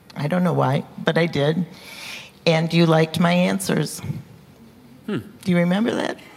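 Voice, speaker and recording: A woman's fairly low voice at a moderate pace, with ordinary pitch variation, long and frequent pauses, and noticeable background noise. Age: 70s. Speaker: seminary student. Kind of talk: testimony. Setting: church.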